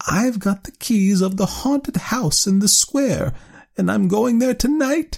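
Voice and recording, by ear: Putting on a character voice, a man speaks slowly at a high pitch with vocal fry, a slightly mellow tone and a slightly husky edge. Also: ordinary pitch variation, very clean recording, silent background.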